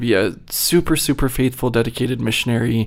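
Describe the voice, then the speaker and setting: A man with an American accent has an ordinary speaking voice at a medium pitch with ordinary pitch variation. He speaks at a fairly slow pace on a very clean recording with a silent background. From Virginia. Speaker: neuroscience researcher. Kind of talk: interview. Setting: studio.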